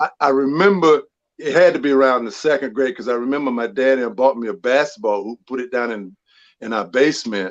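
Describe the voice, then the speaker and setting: A man with a North Carolina accent speaks at a fairly quick pace and medium pitch. His pitch varies in an ordinary way against a quiet background. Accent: Southern, North Carolina. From North Carolina, small town Rutherfordton. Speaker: former pro basketball player. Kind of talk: interview. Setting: live podcast show.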